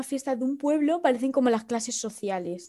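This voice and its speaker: Here is a woman with a high pitch. Her tone is dark and mellow. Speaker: podcast co-host. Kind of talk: casual chat. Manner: animated.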